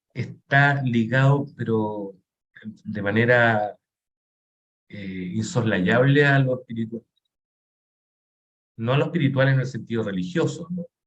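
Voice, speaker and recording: A somewhat breathy male voice at medium pitch, very slow pace and ordinary pitch variation, broken by long, frequent pauses. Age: 50s. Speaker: painter. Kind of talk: interview conversation. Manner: halting.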